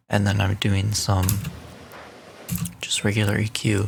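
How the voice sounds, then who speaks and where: Soft-spoken and fairly low-pitched, a man talks at a fairly slow pace. His voice carries vocal fry. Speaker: youtuber explaining his audio production. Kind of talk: tutorial.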